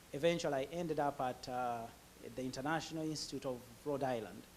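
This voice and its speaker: The speaker has a Ugandan accent. The intonation stays fairly even. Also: man. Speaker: immigrant professional sharing his story. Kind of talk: interview testimony. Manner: halting, many fillers.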